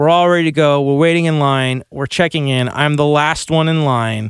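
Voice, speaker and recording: Here a man talks with a Californian accent. His pitch is fairly high. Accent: General American (Californian). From Burbank, Los Angeles, US West Coast. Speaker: guitarist. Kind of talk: casual chat. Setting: studio.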